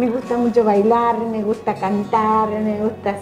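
There is music in the background as a woman speaks in a fairly high-pitched voice. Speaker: retiree and community volunteer. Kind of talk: interview. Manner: cheerful.

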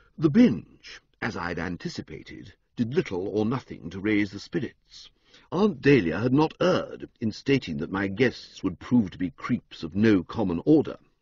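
A man's fairly low voice is somewhat breathy and moves through very wide pitch swings. The sound is dry with no echo, and the background is quiet. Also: moderate pace. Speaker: audiobook narrator. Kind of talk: audiobook reading. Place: studio.

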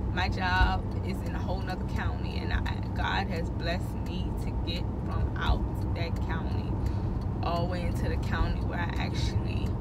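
A woman speaks at a moderate pace. Loud background noise sits behind her voice. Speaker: driver vlogger. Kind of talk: casual vlog chat. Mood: irritated, venting. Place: car. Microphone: phone near.

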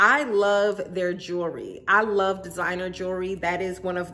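In a bright, sharp tone, a woman with a fairly low voice speaks at a moderate pace. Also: ordinary pitch variation.

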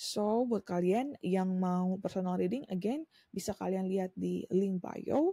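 A woman with a dark, mellow, somewhat breathy tone and ordinary pitch variation is heard in a dry, close sound with no echo. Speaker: tarot reader. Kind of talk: tarot reading monologue. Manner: casual, mixing Indonesian and English.

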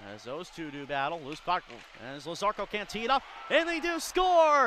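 A man speaks in an upbeat tone with a raised, projected voice. Noticeable background noise is present. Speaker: hockey play-by-play announcer. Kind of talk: live commentary. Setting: arena at a hockey game. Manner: fast-paced, play-by-play delivery that rises in pitch and energy on goals; upbeat and clipped, rattling off names and plays.

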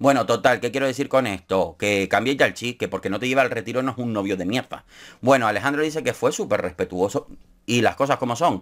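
A man at medium pitch in a Canarian accent, very fast and animated, with ordinary pitch variation and a quiet background. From Canary Islands (Gran Canaria); Canary Islands. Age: 30s. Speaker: YouTuber, TV show commentator. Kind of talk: casual commentary vlog. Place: home room.

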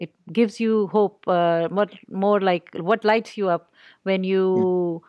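A woman speaks at a very slow pace in a medium-pitched voice. Her intonation stays fairly even. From Pakistan. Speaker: podcast host. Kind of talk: interview.

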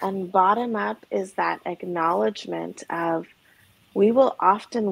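A woman speaks with lively intonation at a fairly slow pace. The sound is dry, with no echo. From Alberta, Canada. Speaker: trauma therapist. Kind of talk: interview conversation. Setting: video call. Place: home room. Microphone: video call.

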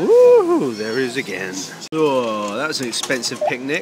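A man with a British accent speaks at a medium pitch and a moderate pace, his intonation lively. Music plays in the background, and the room echo is audible. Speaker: vlogger. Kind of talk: casual vlog chat. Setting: shop. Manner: animated.

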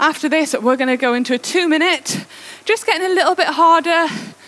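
A woman speaks at an extremely high pitch. Her pace is moderate and her pitch variation ordinary. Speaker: indoor cycling coach. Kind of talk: workout instruction. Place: home room. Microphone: headset.

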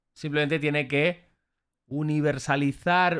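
This man talks at a fairly slow pace, his pitch fairly high. Behind him the background stays quiet. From Spain (Barcelona). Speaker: freestyle rapper reacting to battles; streamer reacting. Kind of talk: live reaction stream commentary. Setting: livestream with chat. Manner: animated. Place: home room. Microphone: studio mic.

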